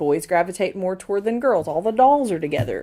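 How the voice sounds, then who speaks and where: A woman speaks at medium pitch with a dark, mellow tone. Her intonation is lively, and the recording is very clean with a silent background. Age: 30s. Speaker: parent. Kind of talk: interview answer. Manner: casual, opinionated.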